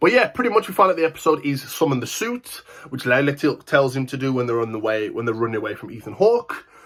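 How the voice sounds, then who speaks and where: The delivery is animated and very fast, with lively intonation. Loudness swings widely throughout. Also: man. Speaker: TV show reviewer, channel host. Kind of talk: casual video review.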